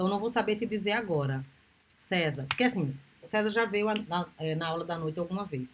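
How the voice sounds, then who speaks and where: Speaking fairly quickly, the somewhat breathy voice moves with lively intonation. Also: woman. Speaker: university lecturer. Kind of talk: lecture.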